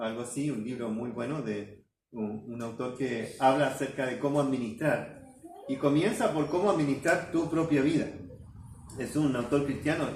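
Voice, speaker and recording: At a moderate pace and medium pitch, a man speaks with ordinary pitch variation, with audible room echo and noticeable background noise. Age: 60s. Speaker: pastor. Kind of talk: sermon. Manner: halting.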